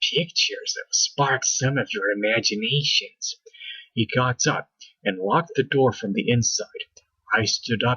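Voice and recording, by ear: The background stays quiet. Over it comes reading aloud in a natural voice, with lively intonation.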